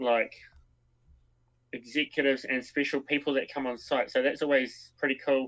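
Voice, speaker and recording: With a New Zealand accent, a man speaks in a monotone. His intonation stays flat against a quiet background. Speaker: co-founder of a scouting online community. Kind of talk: live stream Q&A. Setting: live stream.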